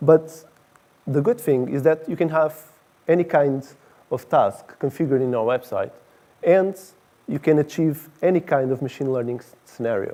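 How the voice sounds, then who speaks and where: A man with a Portuguese accent speaks at a moderate pace in a fairly high voice with a dark, mellow tone. His pitch variation is ordinary, with big swings in loudness and long, frequent pauses. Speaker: director of engineering. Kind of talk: conference talk.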